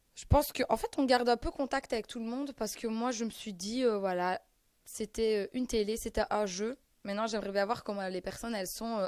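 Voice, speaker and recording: A woman with a strong Belgian accent, fairly high pitch and ordinary pitch variation at a fairly quick pace in a very clean recording with a silent background. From Belgium. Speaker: reality TV contestant. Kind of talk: interview answer.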